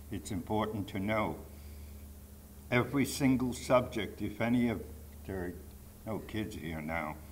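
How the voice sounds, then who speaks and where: A man with a fairly low pitch speaks at a moderate pace with lively intonation. There are long, frequent pauses, and audible room echo surrounds his voice. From Poland, Warsaw. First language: Polish. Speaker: Holocaust survivor speaker. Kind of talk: testimony.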